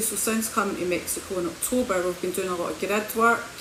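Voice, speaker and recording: Audible room echo and noticeable background noise surround a woman's voice. She has a Scottish accent and fairly even intonation. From Scotland, Hamilton. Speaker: spiritual healer and coach. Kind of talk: livestream talk. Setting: social media livestream.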